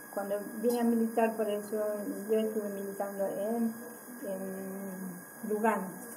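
A woman speaks at a very slow pace. Noticeable background noise is present. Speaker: community organizer in a social movement. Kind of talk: interview answer. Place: meeting room. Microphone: camera far.

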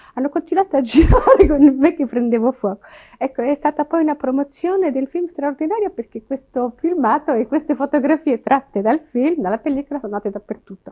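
Her voice is high in pitch and the pace is fairly quick. The woman speaks against a quiet background. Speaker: television presenter. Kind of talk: interview answer. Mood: smiling, relaxed, confident. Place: home room.

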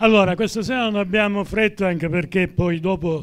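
A man is speaking. The background is quiet. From Sicily. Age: old. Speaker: event host. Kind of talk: event hosting. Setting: stage with audience. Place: hall. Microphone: handheld.

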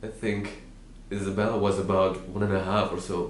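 With light background noise and audible room echo, a man speaks in a fairly low, flat, monotone voice. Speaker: actor. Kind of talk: dramatic monologue, a grieving father pleading with his wife. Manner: tearful and pleading, voice breaking with grief; tender, wistful reminiscing that turns to quiet heartbreak. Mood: grieving, tearful, emotional. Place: home room.

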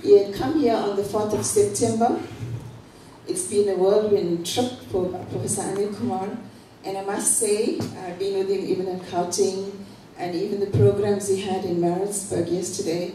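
Against light background noise and audible room echo, a woman speaks at a moderate pace with ordinary pitch variation. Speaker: guest. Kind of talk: formal introduction speech. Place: hall.

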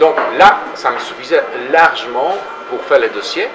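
Clear background noise sits behind a man's medium-pitched voice. He talks at a moderate pace with lively intonation.

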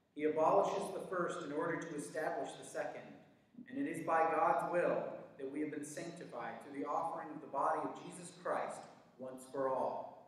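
Moderate pace with strong room echo. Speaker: worship leader. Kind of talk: liturgical prayer, spoken in a church service; fervent prayer. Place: church. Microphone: camera far.

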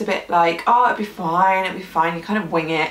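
Audible room echo surrounds the voice. A woman speaks at a fairly quick pace. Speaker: gluten-free food blogger. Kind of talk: casual vlog chat. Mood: warm, slightly emotional. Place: home room.

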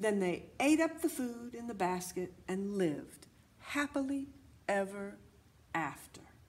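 Lively intonation in reading aloud with a natural voice

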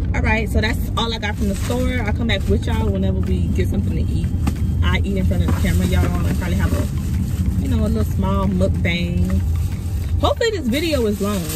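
Over clear background music, a woman talks very fast with ordinary pitch variation, the sound dry with no echo. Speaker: vlogger. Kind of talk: casual vlog chat. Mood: upbeat, playful. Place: car.

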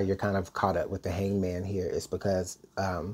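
A man talks at a fairly quick pace in a fairly low, dark, mellow tone that is somewhat breathy. Light background noise can be heard. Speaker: tarot reader. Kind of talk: tarot reading commentary. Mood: calm, thoughtful. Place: home room. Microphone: earbuds.

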